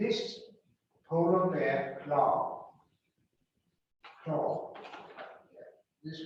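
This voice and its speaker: With a Danish accent, the speaker goes very slowly, and audible room echo surrounds the voice. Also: man. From Denmark. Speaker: lecturer, former school superintendent. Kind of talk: lecture. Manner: reading closely from manuscript.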